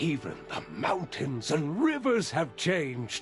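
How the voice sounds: Using a put-on character voice, a man speaks fairly slowly at a fairly high pitch with very wide pitch swings, over clear background noise.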